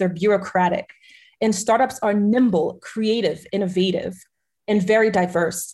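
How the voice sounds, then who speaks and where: Her pace is fairly slow and her voice somewhat breathy. The woman's pitch sits in the medium range with fairly even intonation. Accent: American. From Haitian American family, US. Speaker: entrepreneur and ecosystem strategist. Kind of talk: interview.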